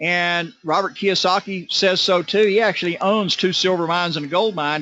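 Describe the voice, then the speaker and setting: A man speaks in a high voice with ordinary pitch variation. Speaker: network marketing presenter. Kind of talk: sales pitch. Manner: fast.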